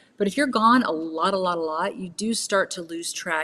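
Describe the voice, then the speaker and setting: This is an ordinary speaking voice. The intonation is lively. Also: woman. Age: 50s. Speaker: wellness entrepreneur. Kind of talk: casual interview chat.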